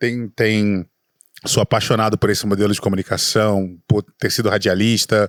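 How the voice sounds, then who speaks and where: In a Rio de Janeiro accent, a man speaks at a moderate pace and fairly low pitch with fairly even intonation, the sound dry and close with no echo on a very clean recording with a silent background. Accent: carioca. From Rio de Janeiro, Brazil. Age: 40s. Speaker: entrepreneur, startup specialist, former radio broadcaster. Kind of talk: podcast interview. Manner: stutters when nervous.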